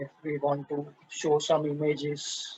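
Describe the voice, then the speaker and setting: This man speaks with an Indian accent in a fairly high pitch. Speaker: software presenter. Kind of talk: tutorial. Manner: slow; halting.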